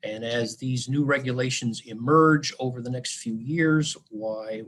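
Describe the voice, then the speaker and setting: A man talks at a medium pitch and a fairly slow pace. His intonation stays fairly even. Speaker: mining engineering consultant presenter. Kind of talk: webinar presentation. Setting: online webinar. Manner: halting, many fillers.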